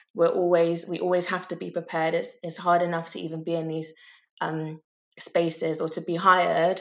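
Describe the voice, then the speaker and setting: A woman's fairly low voice, moderate in pace, monotone and flat in intonation, with big swings in loudness. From Bristol, England. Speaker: makeup artist. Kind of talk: podcast interview.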